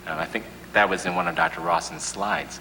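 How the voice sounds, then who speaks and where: Noticeable background noise sits under the recording. Over it, a man talks at a very fast pace with an American accent. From Chicago, US Midwest. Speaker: psychiatrist. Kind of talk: panel discussion. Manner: loud.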